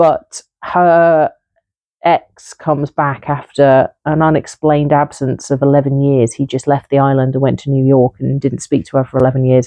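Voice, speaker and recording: A woman with a northern English accent speaks at a moderate pace in a very deep, low pitch, her intonation monotone and flat. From northern England. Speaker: book reviewer. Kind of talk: casual monologue review. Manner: hesitant with fillers.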